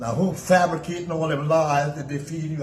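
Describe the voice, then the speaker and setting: Noticeable noise sits behind a man whose fairly high voice moves at a moderate speed. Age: 80s+. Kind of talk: casual conversation, recounting history. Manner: insistent, argumentative.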